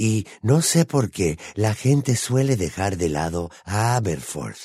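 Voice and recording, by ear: A man puts on a character voice with a slightly husky edge, a fairly low pitch and a dark, mellow tone, speaking slowly with lively intonation on a very clean recording against a silent background.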